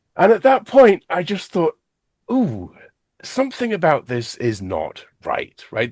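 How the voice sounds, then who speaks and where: A man speaks in an English accent at a moderate pace, his pitch swinging very widely with vocal fry. The background is quiet. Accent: English accent, still going strong. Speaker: math education specialist. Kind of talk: podcast interview.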